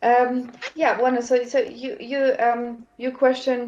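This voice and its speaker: A woman is speaking. Her pace is very slow. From Germany. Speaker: language teacher. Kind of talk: casual chat. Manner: hesitant with many fillers.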